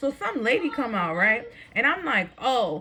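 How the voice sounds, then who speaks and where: Noticeable background noise is present. A woman talks through it. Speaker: vlogger. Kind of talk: storytime rant. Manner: fast; animated.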